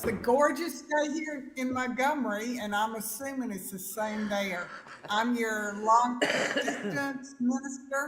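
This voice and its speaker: In a Southern US accent, a woman speaks at a fairly slow pace with a high pitch. Noticeable background noise and audible room echo are present. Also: ordinary pitch variation. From US South (Alabama). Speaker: minister. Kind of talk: sermon.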